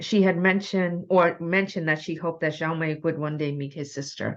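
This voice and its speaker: Using an unremarkable speaking voice, a woman talks at a moderate pace with a fairly low pitch and fairly even intonation. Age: 60s. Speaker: book club host. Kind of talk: author interview. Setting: teleconference.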